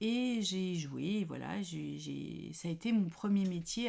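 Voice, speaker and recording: This woman speaks at a fairly low pitch. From France, Paris. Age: 50s. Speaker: knitting podcaster. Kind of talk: casual chat. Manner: hesitant, many fillers.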